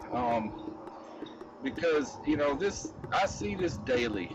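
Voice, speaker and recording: Music plays in the background as a man with an American accent speaks at a fairly high pitch with lively intonation. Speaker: wildlife rescuer and YouTuber. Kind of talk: outdoor nature vlog, direct address to viewers. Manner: halting with repetitions.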